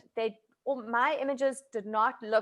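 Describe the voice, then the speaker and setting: The speaker has a South African accent. The background is quiet. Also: woman. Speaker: food photographer. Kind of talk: online masterclass talk. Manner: casual, hesitant with many fillers.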